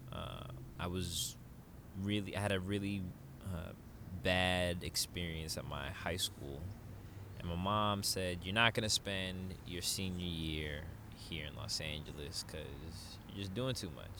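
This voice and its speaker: A man with a very deep, low voice speaks at a fairly slow pace in a bright, sharp tone, with audible room echo around him. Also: ordinary pitch variation. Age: 30s. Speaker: yoga instructor and online community founder. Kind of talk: casual chat.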